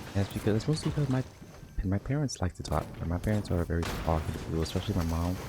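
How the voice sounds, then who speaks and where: Over music in the background, a man mumbles in a very deep, low pitch. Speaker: vlogger. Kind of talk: casual monologue. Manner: mumbling.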